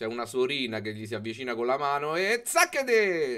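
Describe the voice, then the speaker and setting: A man's lively intonation and moderate pace stand out against a quiet background. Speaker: livestreamer. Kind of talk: livestream commentary. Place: home room. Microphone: studio mic.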